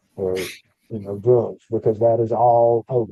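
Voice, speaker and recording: With a Southern US accent, a man talks at a medium pitch. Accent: country, rural Southern US. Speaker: podcast co-host, former prison inmate. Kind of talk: casual chat. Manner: animated.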